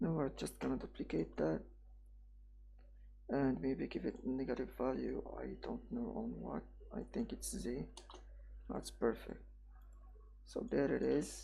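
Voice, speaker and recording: The speaker has a non-native accent and a fairly slow pace. Long, frequent pauses break up the speech. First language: not English. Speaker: 3D software tutorial creator. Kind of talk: tutorial. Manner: halting, self-correcting; casual.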